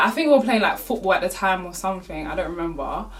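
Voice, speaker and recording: With audible room echo and noticeable background noise, a woman talks in an animated tone with lively intonation. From South London. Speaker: YouTuber. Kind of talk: storytime vlog. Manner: animated, casual.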